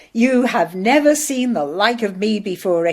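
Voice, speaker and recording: A woman uses a put-on character voice at a fairly high pitch. She speaks at a moderate pace. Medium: read story. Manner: cheery, warm.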